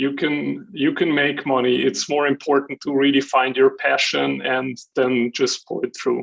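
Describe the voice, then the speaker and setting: A man speaks with a Hungarian accent and fairly even intonation. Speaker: jury member, business executive. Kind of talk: self-introduction at online event.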